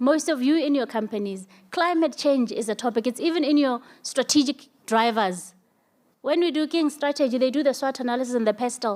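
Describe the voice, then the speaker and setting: A high-pitched woman's voice at a moderate pace. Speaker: energy sector panelist. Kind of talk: panel discussion.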